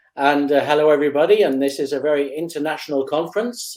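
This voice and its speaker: Speaking with a British accent, a man talks at a fairly quick pace in a fairly high voice. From Britain. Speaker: industry analyst. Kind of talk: conference talk intro.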